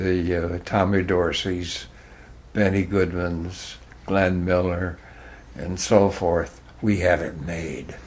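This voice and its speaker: With a New England accent, a man with a very deep, low pitch speaks at a very slow pace in a monotone, flat intonation with long, frequent pauses. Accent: New England American. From Hartford, Connecticut, USA. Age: 90s. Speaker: former radio worker. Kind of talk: interview answer, reminiscing.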